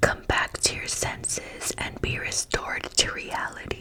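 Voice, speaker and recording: A woman whispers at a very slow pace. Noticeable background noise runs behind her. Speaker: ASMR creator reading the Bible. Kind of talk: slow whispered scripture reading. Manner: whispered, soft-spoken.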